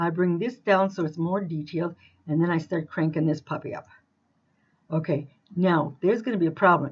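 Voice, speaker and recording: This is a woman with a normal speaking voice, fairly low in pitch. She speaks at a moderate pace. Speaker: crafting tutorial maker. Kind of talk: screen-recorded tutorial. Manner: casual, with fillers.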